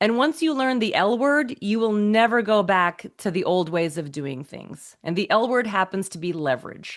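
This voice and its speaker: Against a quiet background, a woman with a medium pitch talks in an animated tone with very wide pitch swings and hardly any pauses. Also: moderate pace. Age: 40s. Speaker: peak performance and financial coach. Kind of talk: podcast interview.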